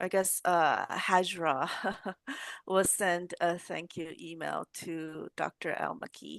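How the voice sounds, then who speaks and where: In a Fujianese accent, a woman with a fairly low pitch speaks at a very slow pace with ordinary pitch variation and big swings in loudness, in a dry, close sound with no echo and a quiet background. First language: Hokkien. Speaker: professor, lab head. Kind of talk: casual academic chat.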